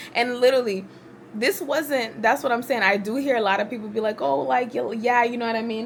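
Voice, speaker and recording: An animated woman with a fairly high pitch and ordinary pitch variation, set against noticeable background noise. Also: fairly quick pace. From US, Haitian immigrant family. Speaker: vlogger. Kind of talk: casual talk to camera.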